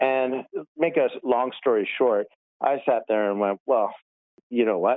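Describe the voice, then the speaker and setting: A man with a Canadian accent speaks at a moderate pace and medium pitch in an ordinary speaking voice. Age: 50s. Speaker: realtor. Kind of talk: casual interview chat.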